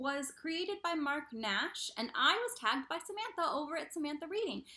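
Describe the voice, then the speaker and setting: A woman's raised, projected voice, high-pitched, with very wide pitch swings at a moderate pace. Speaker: book vlogger. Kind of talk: casual chat.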